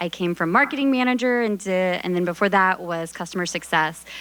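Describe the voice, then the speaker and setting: The voice is loud, with a bright, sharp tone and ordinary pitch variation. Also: woman. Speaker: customer marketing manager. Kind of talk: audience testimony.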